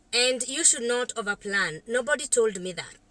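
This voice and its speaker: A woman speaks at a fairly slow pace in a fairly high pitch, her tone bright and sharp, with ordinary pitch variation. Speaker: counselor and vlogger. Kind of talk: casual vlog talk to camera. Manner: halting, with many fillers.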